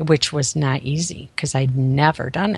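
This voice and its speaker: Speaking in a very deep, low pitch, a woman has an American accent. Vocal fry runs through her voice. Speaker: author. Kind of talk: interview testimony.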